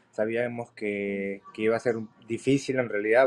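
The man's intonation is monotone and flat. He keeps a moderate pace. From Peru. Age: 20s. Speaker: MMA fighter; interviewee. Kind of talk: interview. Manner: halting. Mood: confident, determined. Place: home room. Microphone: video call.

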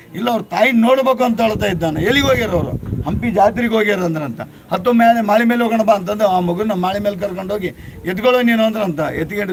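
A man speaks at a high pitch with ordinary pitch variation. Noticeable background noise runs underneath. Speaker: local storyteller. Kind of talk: oral storytelling.

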